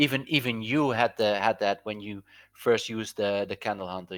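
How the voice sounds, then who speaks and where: A man's voice comes through a very clean recording with a silent background and a dry, close sound with no echo. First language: Dutch. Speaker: crypto trading indicator developer. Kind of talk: casual chat.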